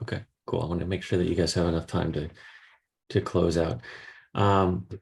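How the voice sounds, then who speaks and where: A man's very deep, low voice, somewhat breathy, at a fairly quick pace against a quiet background. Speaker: software trainer / guest speaker. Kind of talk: tutorial.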